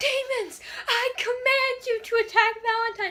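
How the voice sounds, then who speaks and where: This female-sounding voice is a put-on character voice pitched extremely high for a woman. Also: moderate pace. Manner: commanding.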